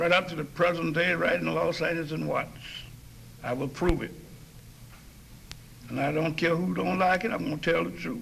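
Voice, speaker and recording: Over noticeable background noise and audible room echo, a man with a North Carolina accent talks at a fairly quick pace broken by long, frequent pauses. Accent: US Southern, North Carolina. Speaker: lecturer, former communist. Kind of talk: lecture. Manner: halting.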